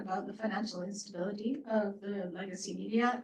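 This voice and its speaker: Somewhat breathy, a woman speaks at a fairly quick pace and medium pitch. Her intonation stays fairly even. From Canada. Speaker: professor, report author. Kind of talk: panel Q&A answer. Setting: hybrid event with audience.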